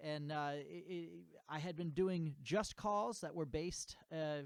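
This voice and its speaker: This man has a New England accent and a fairly high pitch. His pitch varies in an ordinary way on a very clean recording with a silent background. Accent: American (New England). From US, Connecticut (New England). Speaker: music teacher, bugle and guitar. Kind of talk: tutorial outro, direct address to viewers. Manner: halting, many fillers and repeated words.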